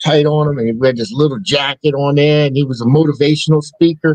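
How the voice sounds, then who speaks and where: A man with an ordinary speaking voice talks at a fairly quick pace and fairly high pitch, with ordinary pitch variation. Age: 40s. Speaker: podcast co-host. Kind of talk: casual chat. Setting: live stream.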